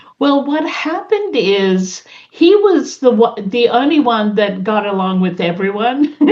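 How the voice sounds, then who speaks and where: A woman speaks at a fairly slow pace in a fairly high voice, her pitch swinging very widely. Noticeable background noise is present. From Australia. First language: a European language (English is third). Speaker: community center leader. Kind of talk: interview. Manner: halting.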